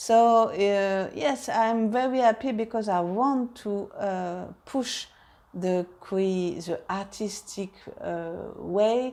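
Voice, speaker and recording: A woman's dark, mellow voice at medium pitch, very slow pace, ordinary pitch variation, in a French accent. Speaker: harp teacher. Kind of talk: casual vlog update. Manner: halting, many fillers.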